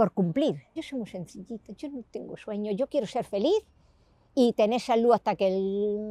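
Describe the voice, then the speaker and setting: Recorded dry and close with no echo against a quiet background, a woman speaks at a medium pitch in a dark, mellow tone with ordinary pitch variation. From Andalusia, Granada (Spain). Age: 60s. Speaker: interviewee, grandmother. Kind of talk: interview. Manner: animated.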